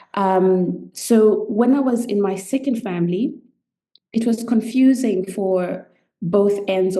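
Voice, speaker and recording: Speaking with a Zimbabwean accent, a woman has a medium pitch, a dark, mellow tone and ordinary pitch variation. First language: Shona. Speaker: medical anthropologist and coach. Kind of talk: podcast interview, personal story.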